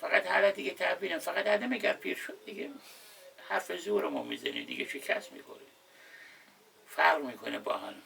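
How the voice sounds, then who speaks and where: Noticeable background noise surrounds a man who speaks at a moderate pace with long, frequent pauses and big swings in loudness. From Khuzestan, Khorramshahr, southwest Iran. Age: 60s. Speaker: wooden boat repairman. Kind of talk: casual chat. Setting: indoors with air conditioner running.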